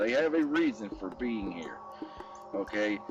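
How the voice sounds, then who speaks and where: Over music in the background, a man with an American accent talks at a fairly slow pace with ordinary pitch variation. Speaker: wildlife rescuer and YouTuber. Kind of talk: outdoor nature vlog, direct address to viewers. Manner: halting with repetitions.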